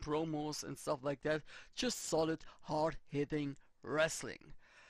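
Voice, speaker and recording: Speech comes at a very slow pace with a non-native accent. The background is quiet. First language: not English. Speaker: let's play gamer. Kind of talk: gameplay commentary. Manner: halting.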